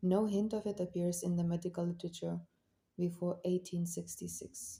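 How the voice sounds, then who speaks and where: Speaking with a non-native accent, a woman uses a fairly low, somewhat breathy voice with a dark, mellow tone. She talks at a fairly slow pace. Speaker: amateur audiobook reader. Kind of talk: audiobook nonfiction reading.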